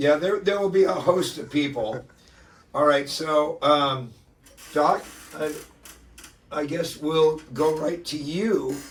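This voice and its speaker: A very slow pace with long, frequent pauses and ordinary pitch variation, over noticeable background noise. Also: man, fairly high pitch for a man. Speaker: radio host. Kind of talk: radio talk show banter. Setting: radio studio. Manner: animated.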